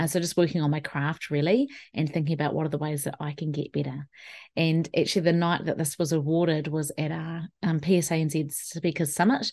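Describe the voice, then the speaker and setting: A woman with a New Zealand accent speaks in a very deep, low pitch. Her intonation is fairly even, and the background is quiet. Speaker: wellbeing specialist and keynote speaker. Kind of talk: solo podcast talk.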